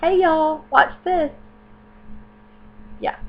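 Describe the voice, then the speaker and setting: This woman has a Southern US accent. She speaks at a moderate pace. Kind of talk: casual talk to camera.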